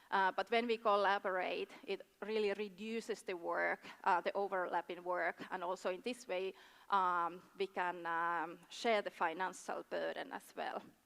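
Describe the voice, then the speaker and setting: Recorded very cleanly against a silent background, with a dry, close sound and no echo, a woman speaks in a medium pitch with a Finnish accent and fairly even intonation. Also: fairly slow pace. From Finland. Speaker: tourism board official. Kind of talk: conference presentation. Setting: stage with audience. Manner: halting, many fillers.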